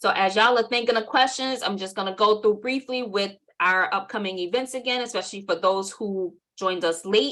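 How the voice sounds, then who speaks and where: Against a quiet background, a woman with a New York accent speaks at a fairly quick pace in a medium pitch with a bright, sharp tone. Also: ordinary pitch variation. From New York City (Southside Jamaica, Queens). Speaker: workshop presenter and marketing agency owner. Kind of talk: webinar workshop.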